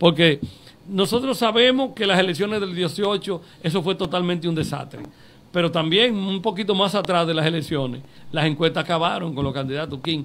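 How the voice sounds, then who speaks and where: At a moderate pace, a man talks with a high pitch and ordinary pitch variation. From Dominican Republic, Puerto Plata area. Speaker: local politician. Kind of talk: interview. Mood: earnest political argument. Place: studio. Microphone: studio mic.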